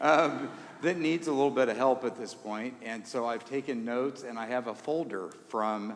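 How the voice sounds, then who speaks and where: In an American accent, a man speaks at a medium pitch and a fairly slow pace with ordinary pitch variation, and the room echo is audible. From Indiana. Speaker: concert organist. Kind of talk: concert remarks to audience. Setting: church with audience. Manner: casual, self-deprecating.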